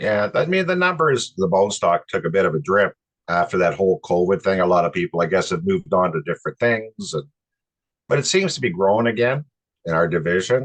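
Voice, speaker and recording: Using an ordinary speaking voice, a man talks at a fairly quick pace and a fairly low pitch, with lively intonation. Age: 60s. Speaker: amateur race car driver. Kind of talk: interview.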